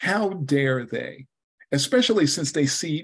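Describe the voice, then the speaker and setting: With lively intonation, a man talks in a fairly high, somewhat breathy voice. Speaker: club speaker. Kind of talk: prepared speech.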